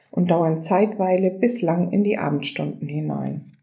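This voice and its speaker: A woman speaks at a medium pitch with vocal fry and a dark, mellow tone. Her pace is moderate and her pitch varies in an ordinary way. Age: 60s. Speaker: local politician. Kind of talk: prepared interview answers.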